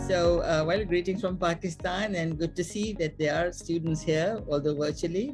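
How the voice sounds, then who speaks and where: Over clear background music, a woman talks at a moderate pace with a fairly low pitch for a woman and ordinary pitch variation. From Pakistan. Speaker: architect. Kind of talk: seminar talk and Q&A answers over video call. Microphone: video call.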